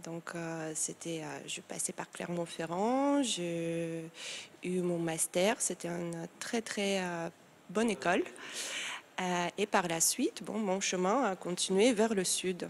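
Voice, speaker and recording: A woman talks at a very slow pace in a fairly low pitch. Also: ordinary pitch variation. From Moldova. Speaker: tattoo artist and engraver. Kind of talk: TV interview. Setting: TV studio set. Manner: halting, many hesitations.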